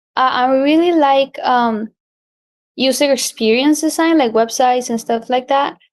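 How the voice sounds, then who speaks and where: With a Spanish accent, a woman speaks at a moderate pace and a high pitch, using ordinary pitch variation. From Colombia. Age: 20s. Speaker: graphic designer. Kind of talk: interview.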